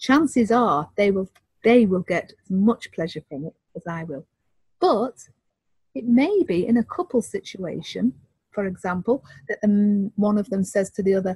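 A woman speaks fairly slowly and somewhat breathily, her pitch swinging very widely, in a dry, close sound with no echo. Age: 50s. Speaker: relationship counselor. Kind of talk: interview.

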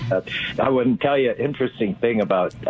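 Over noticeable background noise, a man with an American accent talks at a moderate pace and medium pitch, his intonation lively. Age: 80s. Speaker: caller. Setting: phone call.

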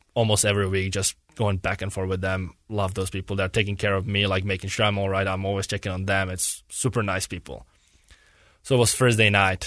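Against a quiet background, a man speaks at a fairly low pitch in a flat monotone. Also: fairly quick pace. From Czech Republic, near Prague. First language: Czech. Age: 20s. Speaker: professional hockey goalie. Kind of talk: casual interview. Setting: studio.

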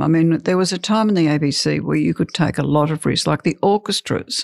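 A woman with an Australian accent talks at a fairly quick pace with a very deep, low pitch and vocal fry. The recording is very clean, with a silent background. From rural Australia. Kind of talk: interview.

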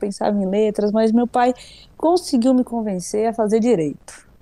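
A woman speaks at a moderate pace in a dark, mellow tone. Her pitch is fairly high with ordinary pitch variation. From Brazil, interior of São Paulo state. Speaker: singer. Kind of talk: casual chat.

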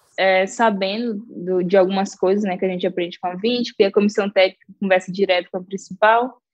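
A woman uses a normal speaking voice at a medium pitch with fairly even intonation. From Brazil, Maranhão (Caxias). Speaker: professional footballer. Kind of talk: interview.

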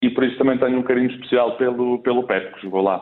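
Speaking at a very fast pace, a man with a Portuguese accent keeps a medium pitch. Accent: Portuguese accent despite being Spanish. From Spain, raised in Coimbra, Portugal from age 10. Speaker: bank supervisor. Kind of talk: casual interview.

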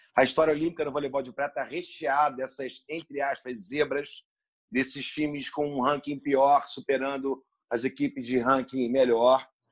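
A man talks in a fairly high pitch at a moderate pace, his intonation flat and monotone. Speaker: volleyball commentator. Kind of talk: podcast interview. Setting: remote call.

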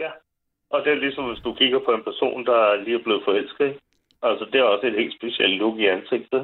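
This man has an unremarkable speaking voice, medium in pitch, moving at a fairly quick pace with ordinary pitch variation. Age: 40s. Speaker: caller. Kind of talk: casual chat.

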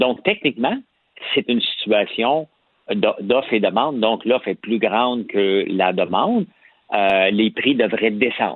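A man at a fairly slow pace. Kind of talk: casual chat.

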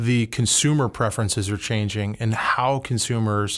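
A man speaks at a medium pitch with fairly even intonation. It is a plain, everyday voice. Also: very clean recording, silent background. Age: 40s. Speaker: consumer brand executive. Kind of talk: interview.

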